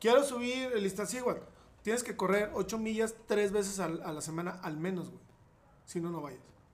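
Through noticeable background noise and audible room echo, a high-pitched man speaks at a moderate pace with ordinary pitch variation. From Mexico, Saltillo (Coahuila). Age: 40s. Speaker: bariatric surgeon. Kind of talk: casual chat. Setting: indoors during rain and hail.

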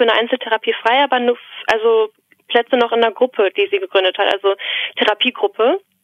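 A woman's fairly high-pitched voice. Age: 20s. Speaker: student and podcast caller. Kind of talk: casual interview conversation. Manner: hesitant, many fillers.

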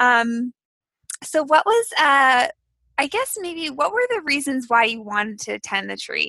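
Her voice is raised and projected, high-pitched with very wide swings, bright and sharp in tone, and she goes at a fairly slow pace. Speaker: podcast co-host. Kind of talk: casual interview. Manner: excitable.

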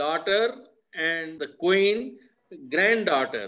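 Very slowly, a man delivers his words. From Punjab, Pakistan side of pre-partition India. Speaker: retired craftsman and grandfather. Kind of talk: casual family interview.

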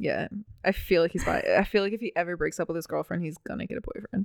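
Talking at a very fast pace, a woman with an American accent comes through in a dry, close sound with no echo. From Baltimore, Maryland, US. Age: 20s. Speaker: podcast co-host. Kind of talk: casual chat.

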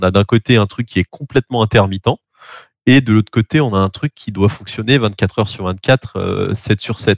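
Ordinary pitch variation and a moderate pace mark a plain, everyday voice. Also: man, fairly low pitch for a man. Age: 30s. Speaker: tech company co-founder. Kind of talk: interview.

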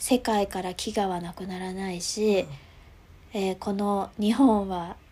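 Somewhat breathy and dark, mellow in tone, a woman's medium-pitched voice moves at a very slow pace with fairly even intonation. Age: 30s. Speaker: stuffed-toy business founder. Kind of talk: interview. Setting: video call.

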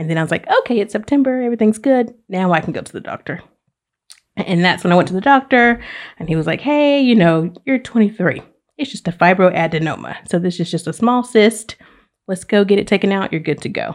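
Speaking in a Southern US accent, a woman uses lively intonation at a fairly quick pace and a medium pitch, with a quiet background. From Alabama (Oxford). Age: 30s. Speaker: university diversity administrator, cancer survivor. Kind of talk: casual interview chat, personal story.

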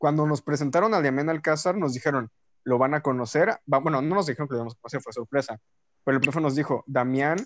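A very fast man's voice, fairly high for a man, with a dry, close sound with no echo and a quiet background. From Veracruz, Mexico. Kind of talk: casual chat.

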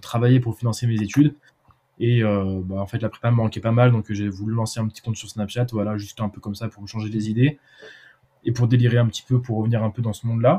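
At a fairly quick pace, a man speaks with a dark, mellow tone at a medium pitch. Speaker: student entrepreneur. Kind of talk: casual chat. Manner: halting.

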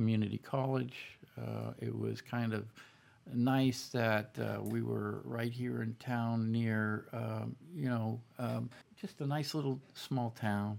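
A man speaks in a Boston accent. His pace is fairly slow. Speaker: army veteran. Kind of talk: interview. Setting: studio.

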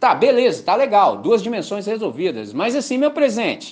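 This man's pace is fairly quick. His tone is animated. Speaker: pastor. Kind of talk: sermon.

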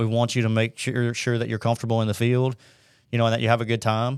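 Recorded very cleanly against a silent background, a man with an American accent speaks at medium pitch. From US South, northern Alabama (Huntsville). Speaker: wildlife biologist. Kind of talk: casual interview.

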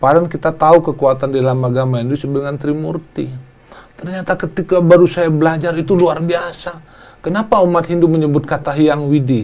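A man with a fairly high pitch over noticeable background noise. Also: ordinary pitch variation, fairly quick pace. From Indonesia, Lampung. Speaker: politician, member of national parliament. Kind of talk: interview talk show.

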